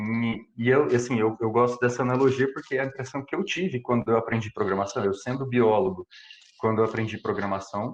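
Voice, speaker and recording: A man with an interior São Paulo accent talks at a fairly quick pace and medium pitch with ordinary pitch variation. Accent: interior São Paulo accent (caipira). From Brazil, interior of São Paulo state. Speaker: computational biologist giving a talk. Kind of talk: lecture. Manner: hesitant, many fillers and repetitions.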